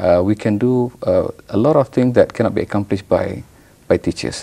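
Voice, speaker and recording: A man talks at a fairly quick pace. He has a Malaysian accent. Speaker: professor. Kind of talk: TV interview. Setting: TV studio. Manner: halting, many fillers and repetitions.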